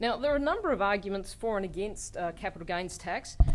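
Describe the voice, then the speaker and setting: With an Australian accent, a woman of medium pitch speaks with ordinary pitch variation in audible room echo. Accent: Australian, noticed by colleagues. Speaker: law professor. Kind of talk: lecture.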